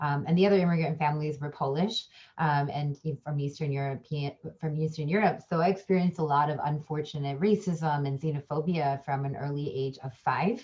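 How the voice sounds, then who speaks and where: Speaking at a fairly quick pace with a Midwestern accent, this voice keeps a fairly even intonation. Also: woman, very deep, low pitch for a woman. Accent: American, Midwest. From US Midwest, Chicago suburbs. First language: a language of India. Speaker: communication professor and diversity trainer. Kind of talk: panel discussion. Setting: online panel. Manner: hesitant, many fillers.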